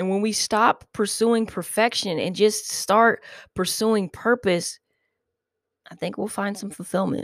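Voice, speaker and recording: A woman has a normal speaking voice at medium pitch. She talks fairly slowly with fairly even intonation. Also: dry, close sound with no echo. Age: 30s. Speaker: podcast host. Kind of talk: casual monologue. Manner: rambling, filler-heavy.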